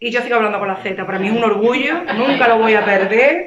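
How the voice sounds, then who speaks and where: Spoken with a Sevillian accent, the voice carries an audible room echo. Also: woman. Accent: Andalusian (Sevillian) Spanish, uses Z sound. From Seville, Andalusia, Spain. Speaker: author. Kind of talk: panel discussion at a library literary event. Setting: library event with audience. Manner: animated, emphatic.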